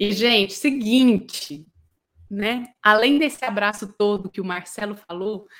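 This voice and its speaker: Here a woman is talking. She goes at a very slow pace. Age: 30s. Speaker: lighting designer and show host. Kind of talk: livestream talk show hosting. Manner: animated.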